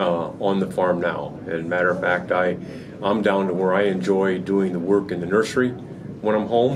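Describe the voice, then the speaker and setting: A man with a fairly low pitch and fairly even intonation at a moderate pace, amid noticeable background noise and audible room echo. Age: 60s. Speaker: hog farmer. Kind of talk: interview. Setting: trade show. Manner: halting.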